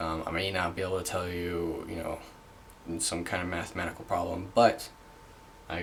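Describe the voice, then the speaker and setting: A man speaks over noticeable background noise. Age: 20s. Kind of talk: casual talk to camera. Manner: hesitant, halting.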